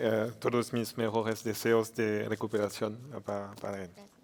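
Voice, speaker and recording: Here a man talks at a medium pitch. His intonation is monotone and flat. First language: French (speaking Spanish). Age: 40s. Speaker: politician. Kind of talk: conference speech. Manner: halting.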